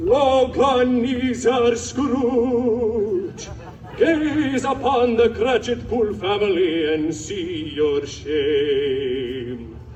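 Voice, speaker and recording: A man does a put-on character voice at an extremely high pitch. He speaks very slowly over clear background noise. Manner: obnoxious.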